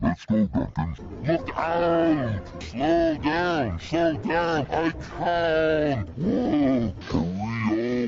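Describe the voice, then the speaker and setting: A cartoonish character voice talks at a very slow pace with hardly any pauses. Clear music plays in the background. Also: man, fairly high pitch for a man. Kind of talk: children's cartoon voice acting. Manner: varied character voices.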